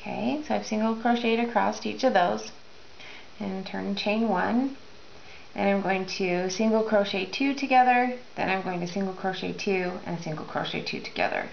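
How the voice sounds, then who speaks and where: A woman keeps a moderate pace amid audible room echo and noticeable background noise. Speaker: crochet instructor. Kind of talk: tutorial.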